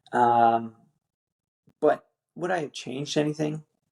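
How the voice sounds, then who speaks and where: A man with a Newfoundland accent speaks at a medium pitch with fairly even intonation. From Newfoundland, Canada. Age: 30s. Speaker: military veteran and father. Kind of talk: podcast interview.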